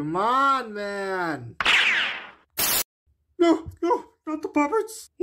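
A man's cartoonish character voice, extremely high-pitched and very slow. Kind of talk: comedy cartoon dialogue.

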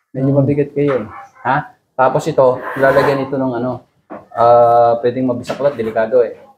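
Medium-pitched male speech with noticeable noise in the background. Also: moderate pace. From Philippines. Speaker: naturopathic therapist. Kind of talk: therapy session coaching. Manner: animated.

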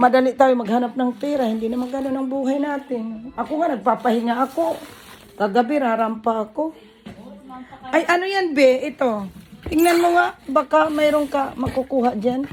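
A woman talks at a high pitch over noticeable background noise. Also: ordinary pitch variation, moderate pace. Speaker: vlogger and small shop owner. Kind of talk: casual chat.

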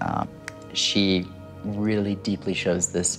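A man's very deep, low voice over clear background music. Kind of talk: reading delivered to a sitter, conversational. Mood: warm, earnest, smiling. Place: home room.

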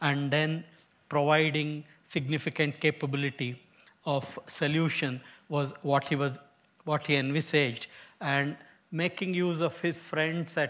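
A man speaks fairly slowly in a monotone, flat intonation. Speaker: guest lecturer. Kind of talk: lecture. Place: hall.

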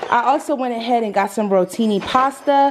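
A woman talks at a moderate pace with ordinary pitch variation against light background noise. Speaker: mom vlogger. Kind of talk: casual vlog chat. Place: kitchen. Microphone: phone near.

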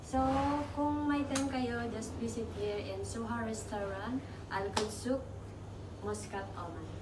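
A woman speaks at a fairly slow pace. Loud background noise surrounds her. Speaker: vlogger. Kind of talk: casual vlog chat.

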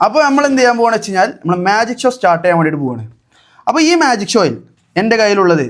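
Here a man speaks at a high pitch with very wide pitch swings. The recording is very clean, with a silent background. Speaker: vlogger. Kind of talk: casual vlog with magic show. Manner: animated.

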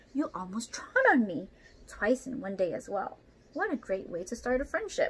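A put-on character voice, female-sounding and fairly high in pitch, with a confident, gentle tone, hissing, at a moderate pace. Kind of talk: children's story read-aloud with character voices. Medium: read story. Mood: sarcastic complaint.

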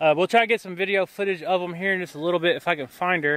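A man with a high-pitched voice at a very fast pace, in a dry sound with no echo. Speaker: farm vlogger. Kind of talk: casual vlog chat. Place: garden. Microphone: phone near.

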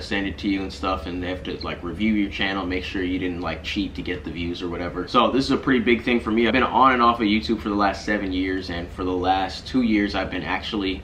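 A man's very deep, low voice at a very fast pace, with ordinary pitch variation, hardly any pauses and light background noise. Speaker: vlogger. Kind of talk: casual vlog chat. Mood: grateful, upbeat. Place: home room.

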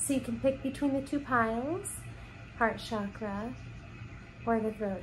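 A woman speaks with fairly high pitch, ordinary pitch variation and vocal fry. Noticeable background noise sits behind her. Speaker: reiki and card reading ASMR creator. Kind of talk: guided reiki healing session, ASMR style. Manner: soft-spoken, slow. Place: home room. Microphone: phone near.

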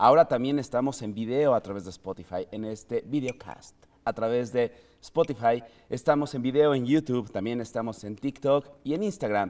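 A man with a Mexican accent at a moderate pace, with ordinary pitch variation. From Mexico. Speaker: podcast host. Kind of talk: casual chat; scripted narration. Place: studio.

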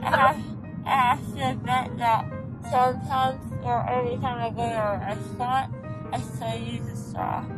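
A woman at a moderate pace over clear background music. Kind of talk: casual vlog chat. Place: car. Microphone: phone near.

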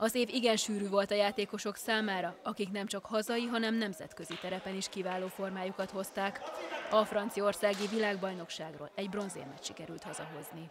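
With noticeable background noise behind her, a woman speaks at a fairly quick pace in a medium-pitched voice with fairly even intonation. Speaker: sports reporter. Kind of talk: scripted narration.

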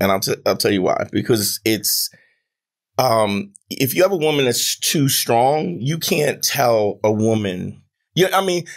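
A man with very wide pitch swings against a quiet background. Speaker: podcast guest, comedian. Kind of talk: interview answer. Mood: confident, humorous. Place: studio. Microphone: studio mic.

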